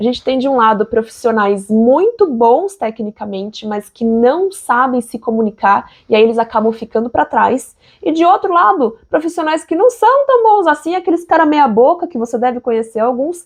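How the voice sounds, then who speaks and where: A woman speaks with a Brazilian accent at a moderate pace. Her pitch is high for a woman and swings very widely. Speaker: engineer and online educator. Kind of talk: sales pitch. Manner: conversational, direct address.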